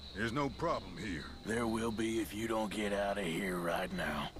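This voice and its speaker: A put-on character voice at a moderate pace over loud background noise. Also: man, fairly low pitch for a man. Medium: video game. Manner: dry, sardonic.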